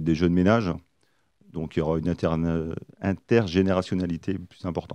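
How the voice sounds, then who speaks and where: Over a quiet background, a man with a very deep, low pitch speaks at a moderate pace with fairly even intonation in a dry sound with no echo. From northern France, Pas-de-Calais; northern France. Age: 40s. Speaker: mayoral candidate; candidate. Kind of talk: radio interview. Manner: halting, many hesitations. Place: studio. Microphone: studio mic.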